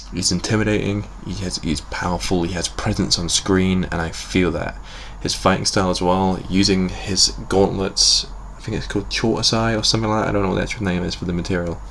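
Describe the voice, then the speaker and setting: A man with a British accent talks at a fairly quick pace. Audible room echo and noticeable background noise fill the recording. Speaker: YouTube reviewer. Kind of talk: review commentary. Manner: halting; enthusiastic.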